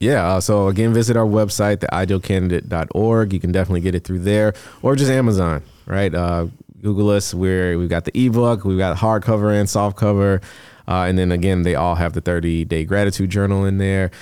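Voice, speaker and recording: A very deep, low male voice with an American accent, a dark, mellow tone, fairly even intonation, very even loudness and a fairly quick pace. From Chicago South Suburbs. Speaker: recruitment company founder and author. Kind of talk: casual interview.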